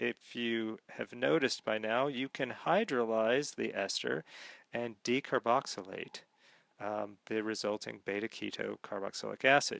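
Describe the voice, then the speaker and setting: On a very clean recording with a silent background and a dry, close sound with no echo, a man speaks at a fairly slow pace in a medium pitch with ordinary pitch variation. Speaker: chemistry teacher. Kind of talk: lecture. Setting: screencast recording. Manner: hesitant with many fillers.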